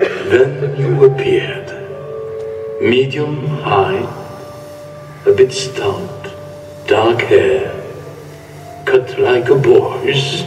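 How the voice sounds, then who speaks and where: Through clear echo and clear music in the background, a man does a put-on character voice at a very slow pace. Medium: stage play.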